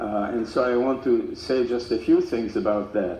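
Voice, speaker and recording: A man speaks at medium pitch and a fairly slow pace, his intonation fairly even, with audible room echo around him. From Czechoslovakia. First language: German/Czech. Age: 90s. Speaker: Holocaust survivor speaker. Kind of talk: testimony to school students. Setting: school assembly with audience. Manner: halting, many fillers.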